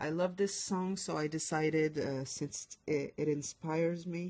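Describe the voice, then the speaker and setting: With a French accent, a woman speaks at a fairly slow pace in a fairly low pitch. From France. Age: 20s. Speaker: lettering designer. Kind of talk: live stream tutorial chat. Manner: halting.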